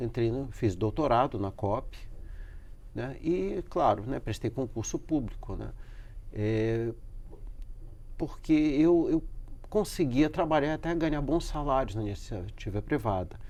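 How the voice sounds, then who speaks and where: The speaker's intonation is lively, though the pace is very slow. Long pauses come often. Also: man. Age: 60s. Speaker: professor. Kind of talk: interview. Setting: studio. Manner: halting.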